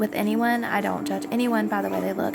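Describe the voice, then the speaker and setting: A woman with a Southern US accent is heard with audible room echo and noticeable background noise. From US South. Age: 20s. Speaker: vlogger. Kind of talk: casual vlog monologue. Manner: hesitant with many fillers.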